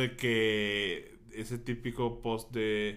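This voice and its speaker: Here a man speaks at a medium pitch. Audible room echo surrounds his voice. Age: 30s. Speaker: podcast co-host. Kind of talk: casual chat. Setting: studio.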